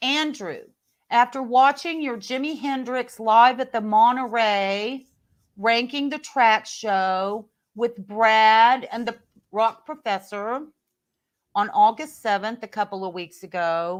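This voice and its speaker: On a very clean recording with a silent background, a woman speaks very slowly at a fairly high pitch with ordinary pitch variation and big swings in loudness. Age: 60s. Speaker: professional singer and keyboard player. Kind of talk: reading aloud; casual chat. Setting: live video podcast.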